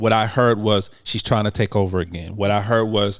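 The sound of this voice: The speech moves at a moderate pace with fairly even intonation in a very clean recording with a silent background. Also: man, fairly low pitch for a man.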